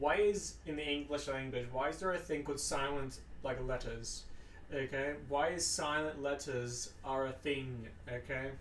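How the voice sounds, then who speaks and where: Audible room echo surrounds a man speaking at a fairly high pitch and moderate pace with fairly even intonation. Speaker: gaming streamer. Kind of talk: casual chat; reading aloud. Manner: halting; rambling with fillers.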